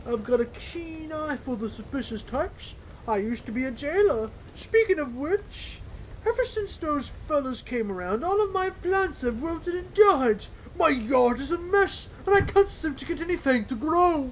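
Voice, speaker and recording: Against clear background noise, a man does a put-on character voice at an extremely high pitch and a moderate pace. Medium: game stream. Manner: folksy, rambling.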